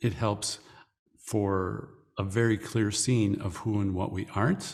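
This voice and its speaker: On a very clean recording with a silent background, a man speaks at a very slow pace with a fairly low pitch. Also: ordinary pitch variation. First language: English (speaking French). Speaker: spiritual teacher. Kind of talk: interview. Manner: measured, in short phrases.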